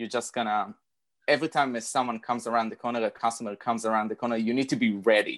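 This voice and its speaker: This man has a non-native accent. He speaks at a fairly quick pace. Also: quiet background. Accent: foreign-accented English. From outside the US. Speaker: cosplayer. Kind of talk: casual chat.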